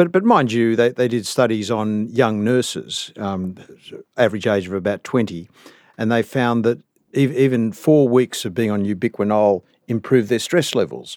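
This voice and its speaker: Here a man with an Australian accent speaks at medium pitch. The recording is very clean, the background silent. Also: ordinary pitch variation, moderate pace. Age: 60s. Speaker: cardiologist. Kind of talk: interview. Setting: studio.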